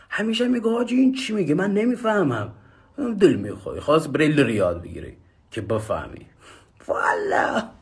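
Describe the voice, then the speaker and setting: A fairly quick pace broken by long, frequent pauses. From Lur region, western Iran. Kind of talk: vox-pop testimony, joking.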